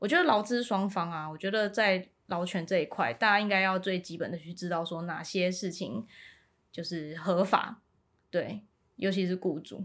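A woman talks at a moderate pace in a normal speaking voice, her pitch medium with ordinary variation. The recording is very clean, with a silent background. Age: 30s. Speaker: local council candidate. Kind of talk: interview.

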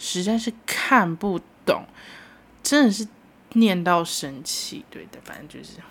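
A woman's medium-pitched voice at a very slow pace, with long, frequent pauses, big swings in loudness and lively intonation. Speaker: solo podcast host. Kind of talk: casual solo monologue. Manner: animated. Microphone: new microphone.

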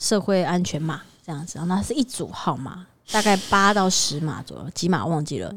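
Talking at a fairly quick pace, a woman with a fairly low pitch and vocal fry has lively intonation and big swings in loudness. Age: 30s. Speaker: podcast co-host. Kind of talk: casual chat.

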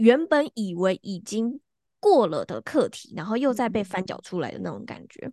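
A woman talks at a moderate pace with a fairly high pitch, a dark, mellow tone and vocal fry. Her pitch swings very widely and her loudness shifts a lot, in a dry, close sound with no echo. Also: quiet background. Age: 20s. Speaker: astrologer and hypnotherapist. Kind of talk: casual interview chat.

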